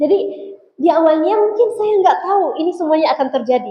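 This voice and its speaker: A woman at a fairly quick pace. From Egypt. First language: Arabic (speaking Indonesian). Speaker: Islamic preacher. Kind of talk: religious talk to students. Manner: casual, conversational.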